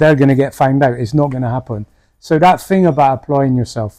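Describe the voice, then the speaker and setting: A man speaks with a British accent. His tone is dark and mellow, with ordinary pitch variation. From United Kingdom. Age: 60s. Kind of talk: interview answer.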